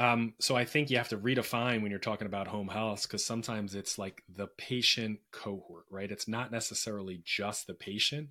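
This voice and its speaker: A man with a normal speaking voice talks at a fairly quick pace with hardly any pauses. His pitch is fairly low and his intonation fairly even. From Philadelphia, US. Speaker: healthcare company executive. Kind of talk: interview. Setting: remote call. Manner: many filler words.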